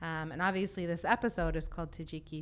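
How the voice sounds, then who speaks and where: Bright and sharp in tone, a woman speaks at a fairly quick pace with lively intonation. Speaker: podcast host and linguist. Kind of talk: interview for an educational podcast. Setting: studio.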